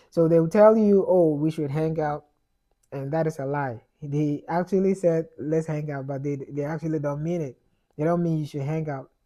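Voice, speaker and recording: A man speaks with a Ghanaian accent at a moderate pace. His fairly high voice has a dark, mellow tone. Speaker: immigrant vlogger. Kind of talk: casual advice monologue. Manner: repetitive stumbling, many fillers.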